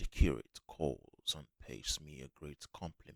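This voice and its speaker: Soft-spoken and very slow, a man talks in a gentle tone with vocal fry, a very deep, low pitch and fairly even intonation. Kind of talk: ASMR book reading. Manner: soft-spoken, gentle.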